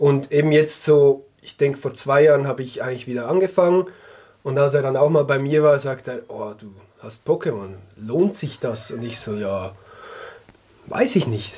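Delivered at a moderate pace with lively intonation, this dark, mellow, somewhat breathy voice swings widely in loudness and leaves long, frequent pauses. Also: man, fairly high pitch for a man. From Switzerland, canton of Glarus. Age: 30s. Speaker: sock business co-founder. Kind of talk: casual interview chat. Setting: studio, in person.

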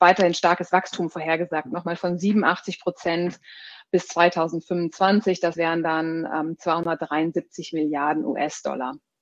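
Speaking at a very slow pace, a woman uses a fairly low pitch and fairly even intonation. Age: 30s. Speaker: product marketing director. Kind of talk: interview. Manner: hesitant, many filler sounds.

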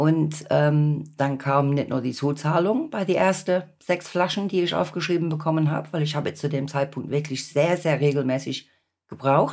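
Her pitch is very deep and low, with ordinary variation. The woman speaks at a moderate pace. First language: English (speaking German). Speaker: patient and support group volunteer. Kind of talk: podcast interview.

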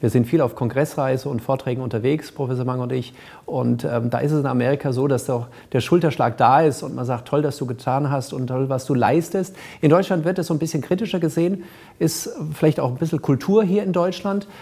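A man's somewhat breathy voice, dark and mellow in tone, fairly high in pitch with ordinary variation, at a fairly quick pace. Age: 40s. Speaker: cosmetic surgeon. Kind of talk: interview. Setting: studio.

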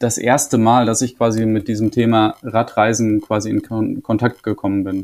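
A man talks at a moderate pace in a monotone, flat intonation, recorded very cleanly against a silent background. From Germany, Münsterland. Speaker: round-the-world cyclist. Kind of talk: interview. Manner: halting, many fillers.

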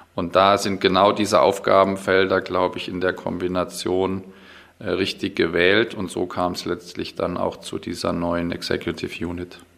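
With a very deep, low pitch, a man talks at a moderate pace in a monotone, flat intonation. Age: 40s. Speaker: logistics executive. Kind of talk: interview. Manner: hesitant.

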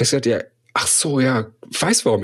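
A man's fairly high-pitched voice. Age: 40s. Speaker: coach and entrepreneur. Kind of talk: interview conversation.

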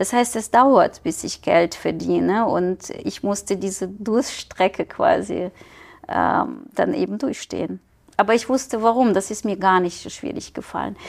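Heard in a very clean recording with a silent background, a woman of medium pitch talks at a fairly slow pace with vocal fry. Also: ordinary pitch variation. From Ukraine. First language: Ukrainian or Russian (speaking German). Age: 40s. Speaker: scientist and entrepreneur. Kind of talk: casual interview. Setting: studio.

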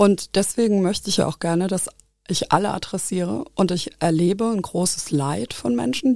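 Her tone dark and mellow, a woman speaks at a moderate pace and medium pitch with lively intonation. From Nahe valley, Rhineland-Palatinate, Germany. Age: 40s. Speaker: university equal opportunities officer and linguist. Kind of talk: interview. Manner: hesitant with fillers.

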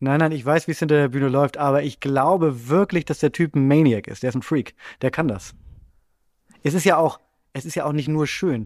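A man with a fairly high pitch talks at a fairly quick pace, breaking it with long, frequent pauses. His pitch varies normally, and the recording is very clean with a silent background. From Bremen, northern Germany. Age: 30s. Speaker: comedy writer. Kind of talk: casual chat.

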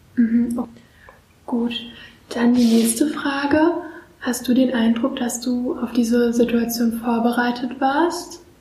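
A woman with a high pitch talks very slowly, leaving long, frequent pauses in fairly even intonation. Room echo is audible, and background noise is noticeable. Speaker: student interviewer. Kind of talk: interview.

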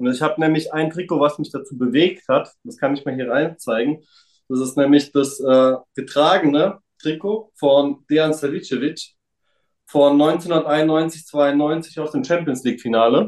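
A man's ordinary speaking voice at a fairly high pitch and a fairly slow pace, with ordinary pitch variation. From Frankfurt area, Germany. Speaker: trading card collector. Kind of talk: casual chat.

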